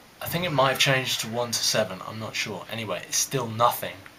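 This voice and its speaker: A man talks at a medium pitch with ordinary pitch variation. Noticeable background noise can be heard. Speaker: vlogger, history master's student. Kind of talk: casual monologue. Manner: rambling with hesitations.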